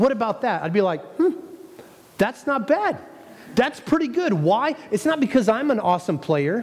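Over noticeable background noise, a man speaks at an extremely high pitch with very wide pitch swings. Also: moderate pace. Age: 30s. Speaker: pastor. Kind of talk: sermon.

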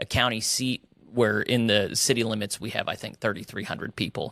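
With an American accent, a man speaks at a medium pitch in a monotone, flat intonation and a bright, sharp tone. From West Texas and Oklahoma. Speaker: pastor. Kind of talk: interview.

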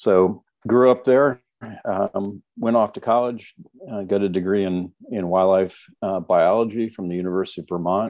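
A man's fairly low voice at a moderate pace, with fairly even intonation and big swings in loudness. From US, military family, moved around. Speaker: retired wildlife biologist. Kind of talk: interview. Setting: video call. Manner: halting, many fillers.

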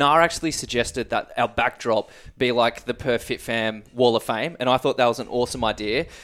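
A man at medium pitch with an Australian accent and a moderate pace, in a very clean recording with a silent background. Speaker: podcast host. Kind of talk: casual interview.

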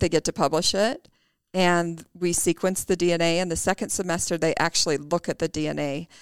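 A woman with a plain, everyday voice talks at a moderate pace, fairly low in pitch and with fairly even intonation, in a very clean, dry, close recording with no echo and a silent background. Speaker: microbiology professor. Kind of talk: podcast interview.

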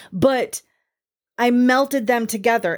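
In a very clean recording with a silent background, a woman speaks in a normal speaking voice. Her pace is fairly slow, with ordinary pitch variation. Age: 50s. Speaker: podcast host, witchcraft teacher. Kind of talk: solo podcast monologue. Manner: casual, conversational with frequent laughs.

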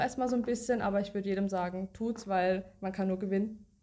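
The voice has a dark, mellow tone and fairly even intonation. It moves at a fairly quick pace. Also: woman. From Baden-Württemberg, Germany (Baden-Baden). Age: 30s. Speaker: coaching client, office worker. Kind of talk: interview testimony. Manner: halting, many fillers.

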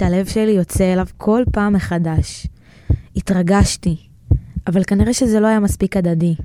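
A woman's medium-pitched voice with a dark, mellow tone, fairly slow and with long, frequent pauses, fairly even intonation and very even loudness. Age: 20s. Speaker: podcast creator and narrator. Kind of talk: personal storytelling narration.

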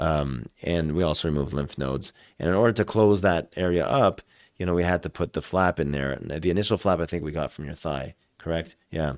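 Recorded dry and close with no echo, a man with vocal fry and a very deep, low pitch speaks at a fairly quick pace. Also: ordinary pitch variation. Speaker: doctor. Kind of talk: casual interview. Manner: halting, hesitant.

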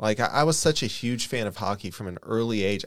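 An unremarkable speaking voice belongs to a man with an American accent and a medium pitch. He moves at a fairly quick pace with ordinary pitch variation on a very clean recording with a silent background. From Kokomo, Indiana. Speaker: sports fan panelist. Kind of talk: casual chat.

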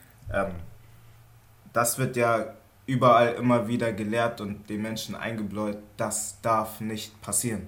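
A man's medium-pitched, monotone voice at a fairly slow pace, broken by long, frequent pauses, with audible room echo. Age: 20s. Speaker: trainee industrial clerk. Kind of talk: casual chat.

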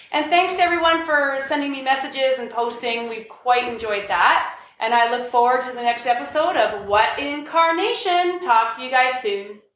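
A woman with a high pitch and lively intonation talks at a moderate pace with hardly any pauses, her loudness swinging widely over noticeable background noise. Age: 40s. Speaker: podcast host. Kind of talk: casual chat.

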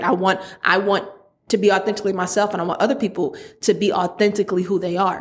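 Using a normal speaking voice, a woman talks at a fairly quick pace and a medium pitch. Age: 30s. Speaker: podcast host. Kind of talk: casual monologue.

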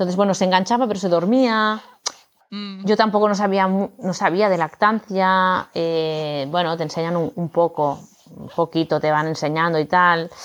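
In a plain, everyday voice, the speaker keeps a moderate pace with ordinary pitch variation. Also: woman, fairly low pitch for a woman. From Barcelona, Spain. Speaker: yoga teacher and new mother. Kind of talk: casual interview.

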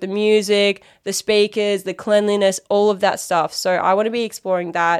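A woman with an Australian accent speaks at a fairly quick pace and medium pitch. The recording is very clean, the background silent. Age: 20s. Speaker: podcast host. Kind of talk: casual monologue. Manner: animated.

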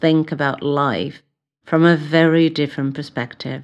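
A woman with a Brazilian accent speaks in a very deep, low pitch over a quiet background. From Brazil, São Paulo. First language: Portuguese. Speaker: psychotherapist and podcast host. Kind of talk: solo podcast introduction.

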